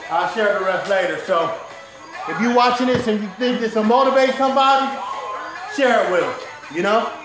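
A man talks at a fairly quick pace in an extremely high pitch with ordinary pitch variation. Clear music plays in the background, and room echo is audible. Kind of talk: casual vlog chat. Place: garage. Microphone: camera far.

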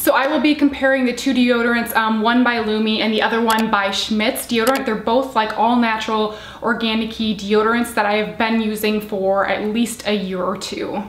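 Speech comes at a moderate pace with hardly any pauses and fairly even intonation. There is audible room echo. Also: woman. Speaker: beauty product reviewer. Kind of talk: casual vlog chat. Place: home room.

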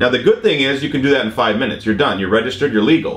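A man speaks amid audible room echo. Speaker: drone instructor. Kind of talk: explanatory vlog discussion. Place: studio.

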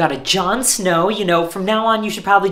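The pace stays moderate as a man talks. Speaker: actor playing a hotel host. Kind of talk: comedy sketch dialogue.

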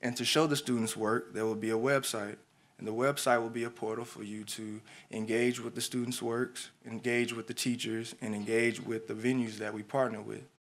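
A man speaks fairly quickly with an American accent. His medium-pitched voice stays monotone and flat. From Houston, Texas. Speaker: graphic designer and educator, design student presenting. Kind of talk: presentation / pitch talk.

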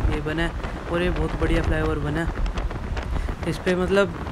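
Noticeable background noise is present throughout. The pace of the talking is moderate. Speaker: moto vlogger. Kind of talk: casual vlog chat. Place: motorbike. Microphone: helmet.

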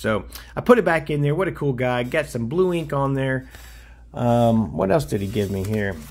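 With an American accent, a man speaks at a moderate pace in a somewhat breathy voice with lively intonation. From US South, Nashville, Tennessee. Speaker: YouTuber, autograph collector. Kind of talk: casual hobby video, showing mail returns. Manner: animated. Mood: pleased, upbeat. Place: home room.

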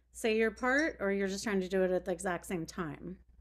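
Against a quiet background, a woman at medium pitch talks at a fairly quick pace. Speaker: guest radio host. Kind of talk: radio interview host. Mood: friendly, curious. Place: home room.

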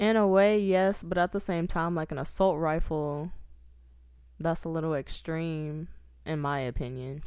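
A woman with an ordinary speaking voice, fairly low in pitch and fairly slow, with ordinary pitch variation. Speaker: recurring podcast guest. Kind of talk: casual chat. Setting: home studio, in person.

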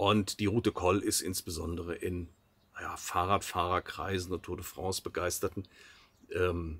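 A man's bright, sharp-toned voice. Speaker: travel vlogger. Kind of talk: casual vlog chat. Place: car. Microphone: camera far.

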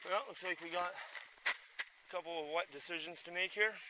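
Against loud background noise, a man with a high pitch speaks at a moderate pace, the sound dry with no echo. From Canada. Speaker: hiking vlogger; backpacker vlogger. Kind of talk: outdoor vlog narration; casual vlog chat. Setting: outdoors. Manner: casual, hesitant with many fillers. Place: forest. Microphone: phone near.

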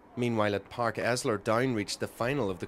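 A fairly quick pace from a man, noticeable background noise all around. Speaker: sports reporter. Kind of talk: pre-recorded sports report voiceover. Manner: lively, flowing play-by-play recap.

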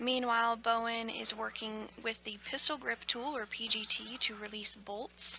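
This woman has an ordinary speaking voice, pitched fairly high. She talks at a fairly slow pace with fairly even intonation. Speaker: NASA TV commentator. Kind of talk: live broadcast commentary. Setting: mission control. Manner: clear, measured, formal.

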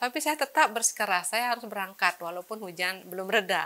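A woman's voice with a bright, sharp tone. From Bali, Indonesia (Tabanan regency); Bali, Indonesia. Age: 50s. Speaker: mathematics education professor; university professor. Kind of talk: profile interview. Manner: hesitant, many fillers. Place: studio. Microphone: lapel.

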